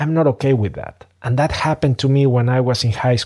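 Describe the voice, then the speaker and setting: On a very clean recording with a silent background, a man with a Spanish accent speaks at medium pitch in a dark, mellow tone with ordinary pitch variation. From Mexico City, Mexico. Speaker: business strategist podcast host. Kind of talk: solo podcast monologue.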